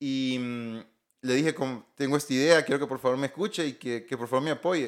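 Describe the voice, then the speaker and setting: Moderate pace, ordinary pitch variation and a fairly high pitch, all in a man's a plain, everyday voice. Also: very clean recording, silent background. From Honduras, La Paz and Comayagua. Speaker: telecom engineer and entrepreneur. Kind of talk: interview.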